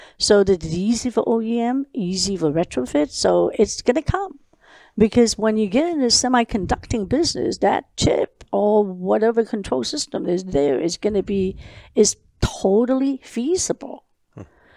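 A woman with a Cantonese accent speaks at a fairly high pitch and a moderate pace, in a dark, mellow tone with very wide pitch swings. The sound is dry with no echo, and the background is quiet. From Hong Kong. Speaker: lighting company founder; podcast guest. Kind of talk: interview. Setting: her office. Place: meeting room. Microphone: headset.

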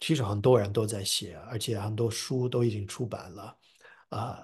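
Against a quiet background, a man speaks somewhat breathily at a fairly slow pace. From US (New Jersey). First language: English (speaking Chinese). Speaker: professor and translator. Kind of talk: interview. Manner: halting with fillers and repetitions.

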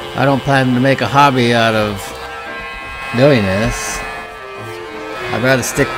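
A man's speech moves at a moderate pace while clear music sounds behind him. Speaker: hobbyist radio restorer. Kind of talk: tutorial. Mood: dry self-deprecating humor. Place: workshop.

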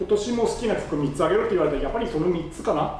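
Faint music and audible room echo sit behind the speech. A man talks at a very fast pace. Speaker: fan vlogger. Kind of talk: casual vlog chat. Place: home room.

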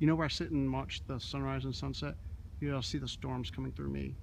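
A man speaks at a very fast pace over light background noise. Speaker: urban explorer vlogger. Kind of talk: casual vlog chat. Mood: excited, awed by lightning. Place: open country. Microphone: phone near.

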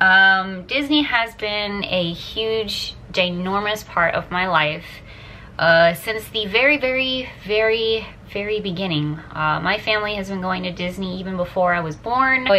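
Light background noise sits behind a woman speaking at a fairly slow pace. Her pitch varies in an ordinary way. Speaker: vlogger. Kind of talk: casual vlog chat. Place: home room. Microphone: phone near.

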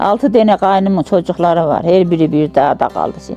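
A woman with a Central Anatolian accent at a moderate pace, music in the background. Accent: rural central Anatolian Turkish dialect. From Turkey, Yozgat, central Anatolia. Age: 80s+. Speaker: village elder. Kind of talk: life story interview.

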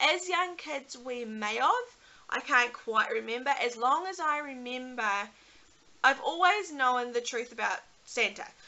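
Speaking fairly slowly in a New Zealand accent, a woman uses a high pitch and lively intonation. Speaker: YouTuber, mother; vlogger. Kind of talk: casual vlog talk to camera. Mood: relaxed, chatty. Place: home room. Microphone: webcam.

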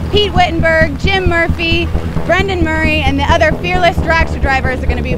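A woman talks at a moderate pace over clear background music. The sound is dry, with no echo. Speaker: show host. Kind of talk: TV host stand-up narration. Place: street.

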